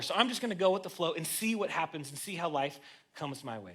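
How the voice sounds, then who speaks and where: A man talks very fast in a raised, projected voice, his pitch swinging very widely. Noticeable background noise sits behind him. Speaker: guest preacher. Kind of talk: sermon. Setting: church. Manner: casual, conversational.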